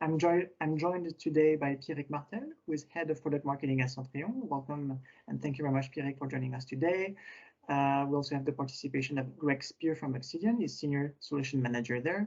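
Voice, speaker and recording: This man speaks very fast, his pitch fairly high. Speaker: webinar host, company co-founder. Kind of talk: webinar presentation. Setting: online webinar.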